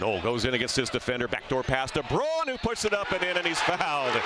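Over loud background noise, a man speaks in an energetic tone at a fairly quick pace with very wide pitch swings, and the sound is dry with no echo. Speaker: basketball play-by-play announcer. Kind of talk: live sports commentary, play-by-play call of a basketball game. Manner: fast, energetic, rapid-fire play-by-play; excitable at big plays, rising into the dunk call. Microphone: headset.

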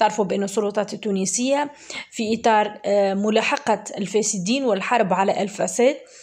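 With a Tunisian accent, a woman talks at a moderate pace in a fairly high pitch. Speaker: news commentator. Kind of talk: news commentary. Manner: halting.

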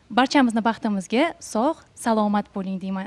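A woman's fairly high voice with ordinary pitch variation at a moderate pace. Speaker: news anchor. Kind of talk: poetry reading and greeting. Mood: warm, festive. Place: studio. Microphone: handheld.

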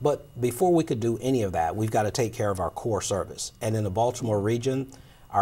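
A man speaks fairly quickly in a fairly low, somewhat breathy voice. His pitch varies in an ordinary way. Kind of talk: interview answer. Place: studio. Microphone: lapel.

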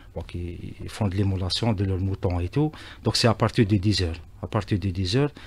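This man's voice is very deep, low in pitch and somewhat breathy. He keeps a moderate pace with ordinary pitch variation. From Algeria. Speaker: railway company executive; radio guest. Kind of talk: radio interview. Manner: halting, many repetitions and hesitations. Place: studio. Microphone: studio mic.

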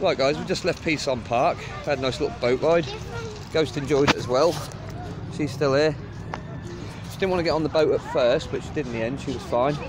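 Clear music plays behind a man talking at a fairly quick pace. His intonation stays fairly even. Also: dry sound with no echo. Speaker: walking travel vlogger. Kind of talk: casual vlog chat. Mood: cheerful, relaxed. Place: waterside. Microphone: phone near.

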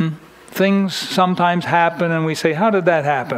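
A man's high-pitched voice with fairly even intonation. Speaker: preacher. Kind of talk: sermon. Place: church.

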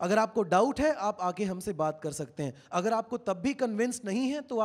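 The background stays quiet. A man speaks with lively intonation at a moderate pace. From India. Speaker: pastor. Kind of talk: sermon. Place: church. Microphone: handheld.

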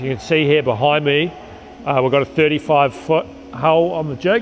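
Light background noise accompanies a man talking at a moderate pace with ordinary pitch variation. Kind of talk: explanatory walkthrough. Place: factory.

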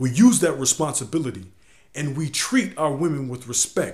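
A man's voice comes through somewhat breathy. The background is quiet. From US, inner city. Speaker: video blogger. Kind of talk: video blog monologue. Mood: earnest, instructive. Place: home room. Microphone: webcam.

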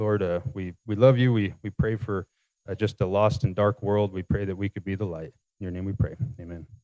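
A dark, mellow tone at a fairly quick pace with fairly even intonation. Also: man, fairly low pitch for a man, quiet background. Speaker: church announcer and prayer leader. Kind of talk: announcements and short prayer. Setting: church. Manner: casual, hesitant with fillers. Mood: casual, slightly hesitant. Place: church. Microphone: handheld.

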